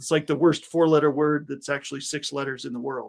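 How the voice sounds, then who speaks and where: Speaking at a moderate pace, a man has a fairly high pitch and an ordinary speaking voice. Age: 40s. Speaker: podcast host. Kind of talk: interview conversation.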